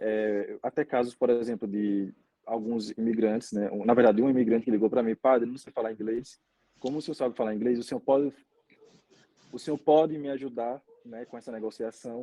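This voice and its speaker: Using an ordinary speaking voice, a man talks at a fairly quick pace and medium pitch. His loudness swings widely. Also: fairly even intonation. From Brazil, Aracaju, Sergipe. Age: 20s. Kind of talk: interview conversation.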